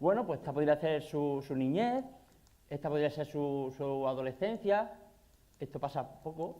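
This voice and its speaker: A man speaks with an Andalusian accent. His pitch is fairly high, with ordinary variation. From Andalusia, Spain. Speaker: nutrition and exercise scientist. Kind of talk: conference talk. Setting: stage with audience. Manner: fast.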